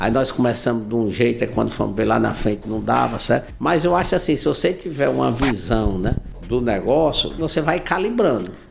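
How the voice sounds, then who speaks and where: Amid noticeable background noise and audible room echo, a man speaks at a medium pitch and moderate pace with lively intonation and hardly any pauses. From Ceará, Brazil. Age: 60s. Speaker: civil engineer and entrepreneur. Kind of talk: interview. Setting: in his office.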